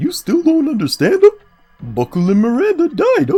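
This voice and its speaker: A man adopts a put-on character voice at an extremely high pitch, talking at a moderate pace. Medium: game stream. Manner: ends phrases with verbal tic.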